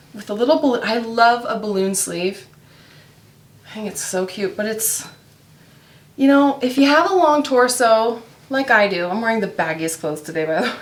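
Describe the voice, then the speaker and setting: Amid audible room echo, a woman with a fairly high pitch speaks with lively intonation, big swings in loudness and long, frequent pauses. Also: moderate pace. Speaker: mom vlogger and online reseller. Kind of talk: casual chat while working. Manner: chatty, many fillers.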